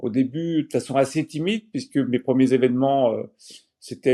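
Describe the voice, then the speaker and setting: This man's voice sits at a medium pitch with a dark, mellow tone. His pitch varies in an ordinary way. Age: 60s. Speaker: sports event organizer and entrepreneur. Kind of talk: interview. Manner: hesitant, many fillers.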